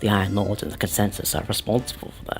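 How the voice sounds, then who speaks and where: Over music in the background, a man with a fairly low pitch talks at a very fast pace. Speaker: video game lore narrator. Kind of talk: in-character documentary narration. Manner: formal, explanatory.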